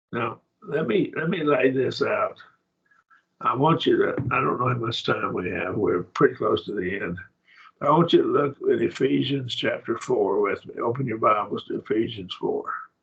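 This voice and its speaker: A man speaks at a moderate pace with an Oklahoma accent. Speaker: Bible class teacher. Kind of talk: Bible study lecture.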